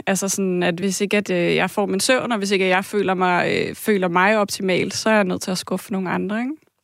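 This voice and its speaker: A woman talks fairly quickly with hardly any pauses, in an unremarkable speaking voice at medium pitch. Her intonation is fairly even, and the recording is very clean with a silent background. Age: 30s. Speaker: caller. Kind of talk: testimony.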